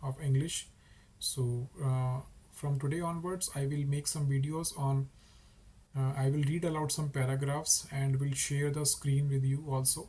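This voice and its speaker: In an Indian accent, a man with a fairly high pitch speaks at a fairly slow pace, his dark, mellow tone somewhat breathy, his loudness very even and his intonation monotone and flat. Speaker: English teacher YouTuber. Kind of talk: casual talk to camera.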